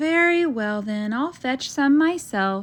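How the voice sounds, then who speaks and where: A woman puts on a character voice, pitched high. She talks at a fairly slow pace. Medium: read story. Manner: cheerful, determined.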